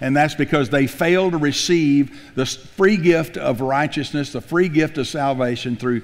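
With ordinary pitch variation, the man's speech moves at a moderate pace. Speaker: pastor. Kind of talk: sermon. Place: church. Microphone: headset.

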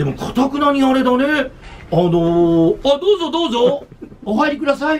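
A man speaks at a moderate pace in an animated tone, his extremely high pitch making very wide swings. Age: 60s. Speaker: radio announcer. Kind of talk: casual chat. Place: office.

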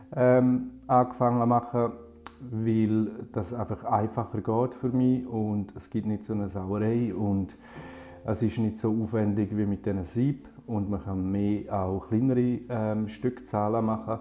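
Over light background noise, a man speaks at a fairly slow pace in a dark, mellow tone with fairly even intonation. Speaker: graphic designer. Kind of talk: tutorial. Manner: halting with frequent filler sounds. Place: home room.

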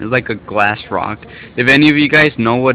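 Light background noise sits behind a man talking at a moderate pace in a dry sound with no echo. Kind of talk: casual vlog chat. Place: home room.

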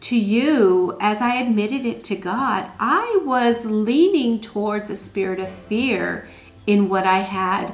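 Speaking at a very slow pace, a woman talks. Her pitch varies in an ordinary way. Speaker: homemaking vlogger. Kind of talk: casual vlog chat. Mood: earnest, reflective. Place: home room.

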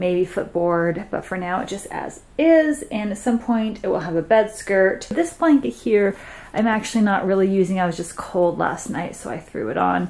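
A woman speaks at a moderate pace. She leaves hardly any pauses. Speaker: vlogger. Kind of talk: casual vlog chat. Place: home room. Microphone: phone near.

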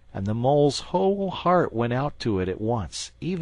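Someone takes on the text as plain reading aloud.

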